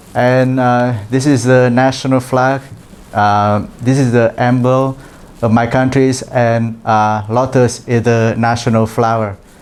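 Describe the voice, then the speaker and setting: Speaking at a very slow pace with a Vietnamese accent, a man keeps a medium pitch, very even loudness and monotone, flat intonation over noticeable background noise. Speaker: international trainee presenter. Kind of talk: presentation. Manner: halting, many fillers.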